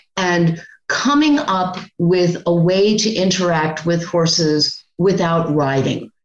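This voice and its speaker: Amid audible room echo, a woman speaks very slowly with hardly any pauses, using a fairly low pitch, ordinary pitch variation and very even loudness. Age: 60s. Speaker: podcast co-host. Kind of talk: casual chat. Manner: halting.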